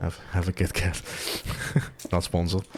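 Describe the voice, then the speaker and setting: A man's voice is very deep and low, with a dark, mellow tone. His intonation stays monotone and flat. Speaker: gaming video creator. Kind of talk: soft-spoken gameplay commentary. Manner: soft-spoken, calm; rambling, hesitant.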